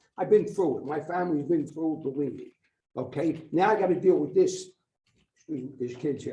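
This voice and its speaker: There is audible room echo as a man talks at a fairly quick pace in a dark, mellow tone. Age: 60s. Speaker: resident speaking at public comment. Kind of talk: public comment at council meeting. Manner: loud.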